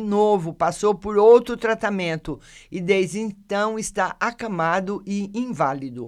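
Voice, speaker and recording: Delivered at a fairly slow pace, the speech comes through on a very clean recording with a silent background. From Brazil, São Carlos, São Paulo state. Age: 60s. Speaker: local news podcast host. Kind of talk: news reading with casual commentary. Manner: conversational, addresses listeners by name.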